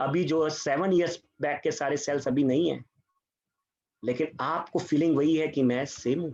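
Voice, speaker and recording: A man with a fairly high pitch and fairly even intonation. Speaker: Bhagavad Gita scholar and chartered accountant. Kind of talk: spiritual talk to online audience. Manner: tries to speak louder. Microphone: voice too quiet.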